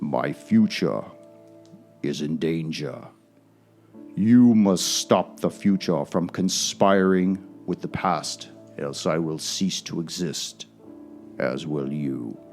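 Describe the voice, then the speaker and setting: A man puts on a character voice with a very deep, low pitch at a very slow pace. Long, frequent pauses break it up, with faint music in the background. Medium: actual play. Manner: imperious, commanding.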